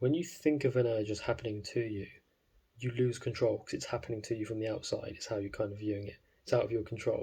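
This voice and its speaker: Somewhat breathy and dark, mellow in tone, a man speaks at medium pitch. His pace is fairly quick. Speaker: self-improvement vlogger. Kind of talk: casual monologue. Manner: fast; animated.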